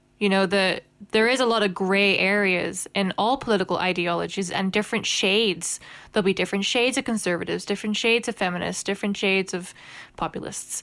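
Talking at a very fast pace, a woman with a Northern Irish accent keeps her loudness very even and her intonation fairly even in a very clean recording with a silent background. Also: medium pitch for a woman. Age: 30s. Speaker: podcast co-host. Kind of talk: casual chat.

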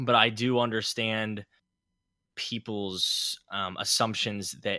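Speaking very slowly with an American accent, a man uses a fairly low voice with a bright, sharp tone in a very clean recording with a silent background and a dry, close sound with no echo. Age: 20s. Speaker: podcast co-host. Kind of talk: casual chat.

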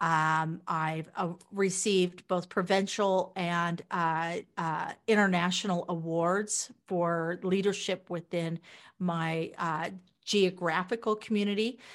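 The voice moves at a very slow pace in a US Midwestern accent. Its intonation is monotone and flat, on a very clean recording with a silent background. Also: woman, fairly low pitch for a woman. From Kansas, US Midwest. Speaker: entrepreneur and book publisher. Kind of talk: interview.

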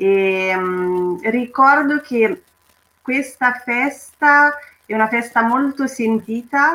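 High-pitched woman with a Romanian accent and a bright, sharp tone. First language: Romanian (speaking Italian). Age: 30s. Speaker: cultural association member. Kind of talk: personal testimony.

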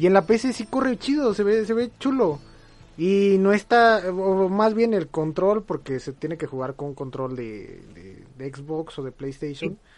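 A man speaks at a fairly slow pace in a high pitch, with very wide pitch swings. His loudness swings a lot. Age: 20s. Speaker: podcast host. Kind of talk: casual chat. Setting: live stream.

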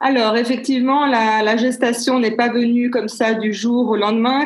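There is audible room echo as a woman talks at a moderate pace in a fairly high voice with fairly even intonation. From Switzerland, Geneva. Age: 50s. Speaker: business consultant and coach. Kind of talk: interview. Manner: halting.

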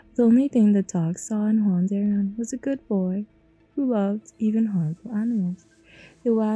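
This is a plain reading. The text is simply read aloud.

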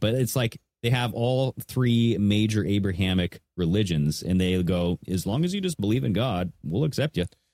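A man with an ordinary speaking voice and an American accent talks at a moderate pace with a fairly low pitch and lively intonation. His loudness stays very even, with hardly any pauses, in a dry, close sound with no echo. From Washington state, US. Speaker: podcast co-host. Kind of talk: casual chat.

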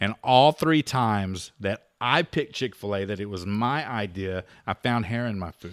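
A man with an unremarkable speaking voice and a fairly low pitch talks at a moderate pace with hardly any pauses and lively intonation, in a very clean recording with a silent background and a dry, close sound with no echo. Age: 40s. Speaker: podcast host. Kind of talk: casual chat.

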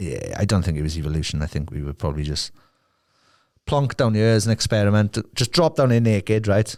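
A man with a Welsh accent, fairly low in pitch, very fast and animated, on a very clean recording with a silent background. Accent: Welsh, valleys. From South Wales. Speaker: musician and podcast host. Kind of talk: angry rant. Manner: sweary.

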